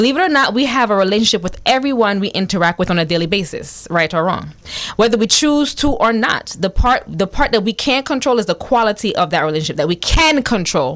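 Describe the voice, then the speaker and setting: At a very fast pace, a woman of medium pitch speaks in an animated tone with very wide pitch swings and very even loudness. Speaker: radio talk show host. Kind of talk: radio interview intro.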